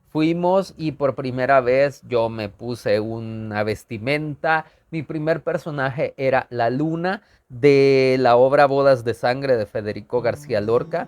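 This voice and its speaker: A man speaks with ordinary pitch variation. His pace is very slow. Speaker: theatre actor. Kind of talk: personal storytelling vlog.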